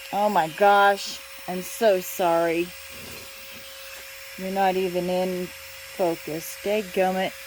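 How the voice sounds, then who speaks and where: The speech moves at a very slow pace with long, frequent pauses against noticeable background noise. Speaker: craft hobbyist. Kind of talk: tutorial. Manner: halting.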